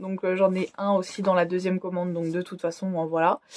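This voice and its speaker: A woman is heard with a dry, close sound that has no echo. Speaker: beauty vlogger. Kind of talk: casual vlog review. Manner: loud.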